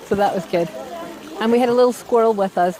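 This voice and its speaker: Noticeable background noise behind speech with an American accent. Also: woman. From Scotland. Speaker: nurse. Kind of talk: interview.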